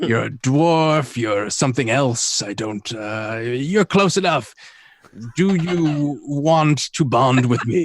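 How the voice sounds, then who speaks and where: A man puts on a gruff character voice at fairly high pitch. He speaks at a very slow pace. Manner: blunt, curt.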